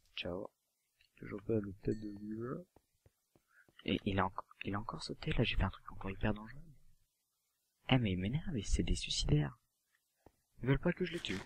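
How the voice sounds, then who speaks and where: Soft-spoken and at a moderate pace, a man uses lively intonation, with vocal fry and a fairly low pitch. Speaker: gaming youtuber. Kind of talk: gameplay commentary. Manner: quiet to avoid noise.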